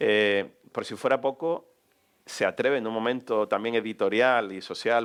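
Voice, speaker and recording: A medium-pitched man's voice with a Canarian accent and ordinary pitch variation. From Canary Islands, Gran Canaria (Telde). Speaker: radio journalist, interviewer. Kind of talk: public on-stage interview. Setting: stage with audience in a cultural hall.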